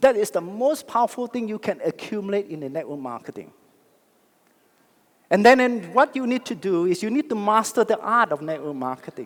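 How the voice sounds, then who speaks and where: Talking at a fairly quick pace, a man uses a high pitch with very wide pitch swings. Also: big swings in loudness. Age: 60s. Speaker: network marketing leader. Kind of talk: motivational speech. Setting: stage with audience. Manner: animated.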